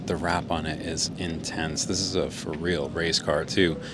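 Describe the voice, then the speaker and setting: A man speaks at a fairly slow pace in a very deep, low voice. Noticeable background noise runs behind him. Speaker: car vlogger. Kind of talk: walkaround video narration. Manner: animated.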